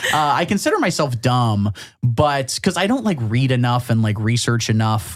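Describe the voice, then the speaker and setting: A man at medium pitch with a Midwestern American accent. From US Midwest, Champaign, Illinois. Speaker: comedian. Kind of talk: casual chat.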